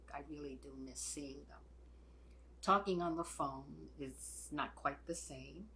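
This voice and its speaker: There is audible room echo as a woman speaks at a very slow pace. Her loudness swings widely. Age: 80s+. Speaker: retired church volunteer. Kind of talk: personal testimony.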